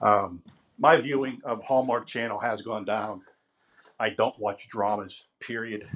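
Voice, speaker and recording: The speaker is a man who talks at a fairly slow pace. His intonation stays fairly even. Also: medium pitch for a man. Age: 50s. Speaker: listener leaving a voice message. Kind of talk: recorded voice message. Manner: hesitant, with fillers.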